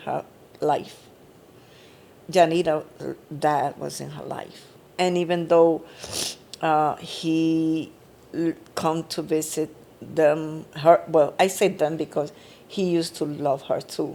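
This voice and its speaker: A woman's fairly low voice at a very slow pace, with fairly even intonation and long, frequent pauses. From Puerto Rico. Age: 70s. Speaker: mother and grandmother of the hosts. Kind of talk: emotional family interview. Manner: halting.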